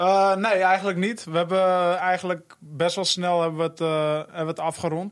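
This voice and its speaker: A man's ordinary speaking voice at a moderate pace, with fairly even intonation, on a very clean recording with a silent background. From North Holland, Hoofddorp. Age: 20s. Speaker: professional footballer. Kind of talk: interview.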